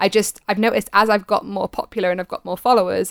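A woman with an English accent speaks with fairly even intonation, heard dry and close with no echo on a very clean recording with a silent background. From Britain. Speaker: Twitch streamer. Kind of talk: casual chat. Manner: laughs often.

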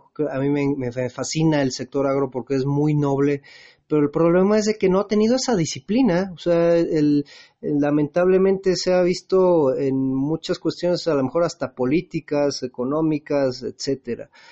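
Speaking with a Mexican accent, a man has a fairly high voice and ordinary pitch variation. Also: moderate pace. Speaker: radio host. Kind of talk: interview. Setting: at home.

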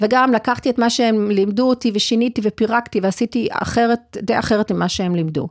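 A woman speaks at fairly high pitch and a moderate pace, with ordinary pitch variation and hardly any pauses. Loudness stays very even, and the sound is dry and close with no echo. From Argentina, raised in Israel. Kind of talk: interview (being interviewed), personal story.

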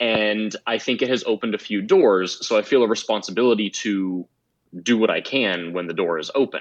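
Here a man speaks at a fairly quick pace. His pitch is fairly low, with ordinary variation. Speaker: guest advocating LGBT inclusion in motorsports. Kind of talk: casual interview.

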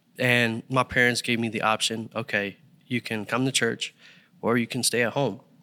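An American accent in a monotone, flat delivery, with a dry, close sound and no echo. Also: man, medium pitch for a man, moderate pace. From Philadelphia. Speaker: church usher coordinator. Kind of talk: casual chat, personal testimony.

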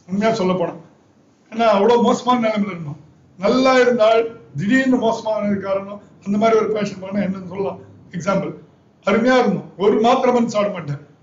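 The voice shows ordinary pitch variation, with audible room echo around it. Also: man, high pitch for a man. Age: 50s. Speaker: kidney transplant patient. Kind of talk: testimony.

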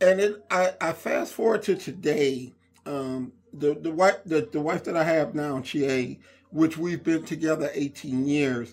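On a very clean recording with a silent background, a man with an American accent talks at a fairly slow pace, his fairly high pitch showing ordinary variation. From Inglewood, California (US West Coast). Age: 50s. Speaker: podcast host and fitness center owner. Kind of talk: casual monologue. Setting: recording alone on a laptop. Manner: hesitant, many fillers.

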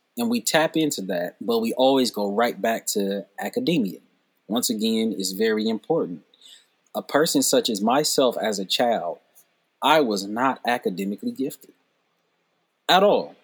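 Over a silent background in a very clean recording, a man of medium pitch speaks at a moderate pace with lively intonation and long, frequent pauses. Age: 30s. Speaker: storyteller and educator. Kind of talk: casual chat.

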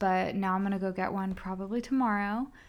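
Speaking at a fairly quick pace, a woman with a medium-pitched voice sounds animated on a very clean recording with a silent background. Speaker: podcast co-host. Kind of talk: casual chat.

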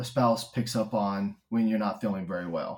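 The speaker has a Texan accent and a somewhat breathy sound. The pace is moderate. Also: man. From Texas, Stephenville. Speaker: spouse of a patient. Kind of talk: interview conversation.

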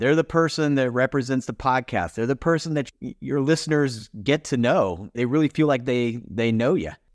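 In a quiet background, a man talks at a moderate pace with an unremarkable speaking voice. His pitch is medium, with ordinary pitch variation. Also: dry, close sound with no echo. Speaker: podcast producer and company CEO. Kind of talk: casual interview chat.

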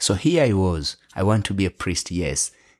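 A man with a Kenyan accent speaks at a moderate pace, his pitch very deep and low with ordinary variation. The sound is dry and close with no echo, on a very clean recording with a silent background. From western Kenya. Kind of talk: interview.

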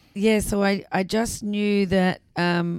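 A woman speaks with an Australian accent. Her intonation is monotone and flat, on a very clean recording with a silent background. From South Australia, Adelaide. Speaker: arts festival director. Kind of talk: interview conversation. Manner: hesitant with fillers.

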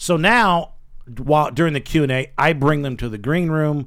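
At a moderate pace, a man talks in a plain, everyday voice. His voice sits fairly high, and its pitch varies in an ordinary way. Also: very clean recording, silent background. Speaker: radio show host. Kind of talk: casual banter, comedy radio show. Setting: studio.

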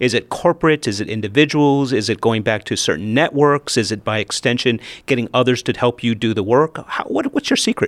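A man talks at a fairly quick pace with hardly any pauses, in a plain, everyday voice. His pitch is medium with ordinary variation. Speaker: podcast host and interviewer. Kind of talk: interview with scripted intro.

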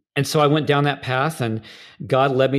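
On a very clean recording with a silent background, a man in a plain, everyday voice speaks at a medium pitch and a fairly quick pace. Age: 40s. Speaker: worship leader and trainer. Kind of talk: interview conversation.

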